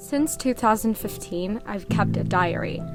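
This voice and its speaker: A woman speaks at a moderate pace as music plays in the background. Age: 20s. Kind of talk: casual advice monologue to camera.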